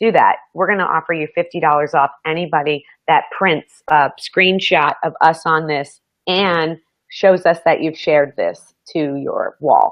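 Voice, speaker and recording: With fairly even intonation, the speech comes fairly slowly in an unremarkable speaking voice. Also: woman, fairly low pitch for a woman. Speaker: show host and psychic. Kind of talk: live show chat.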